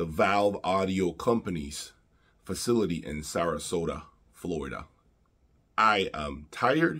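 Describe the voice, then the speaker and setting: A man speaks with lively intonation at a very deep, low pitch. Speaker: audio reviewer. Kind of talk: casual vlog chat. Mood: grateful, sincere. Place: home room.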